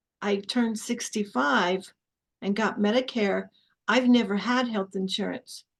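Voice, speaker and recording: Speaking at a fairly slow pace, a woman uses a fairly high pitch with fairly even intonation. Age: 60s. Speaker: podcast host, minister. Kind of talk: casual interview conversation.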